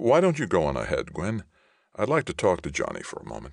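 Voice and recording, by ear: A man's low, put-on character voice with vocal fry, very wide pitch swings and a fairly quick pace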